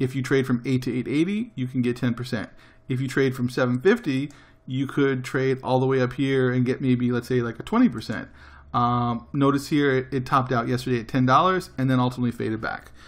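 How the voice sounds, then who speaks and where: Over a quiet background, a man with a medium pitch talks at a fairly quick pace with fairly even intonation. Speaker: day trading educator. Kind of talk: tutorial. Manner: fast.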